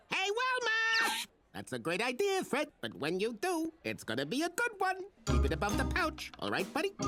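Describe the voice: Using a cartoonish character voice, a man speaks in a raised, projected voice.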